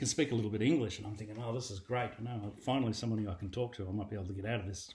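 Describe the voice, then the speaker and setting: Speaking with an Australian accent, a man has a fairly low, somewhat breathy voice and fairly even intonation. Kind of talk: personal testimony. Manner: casual, storytelling with fillers.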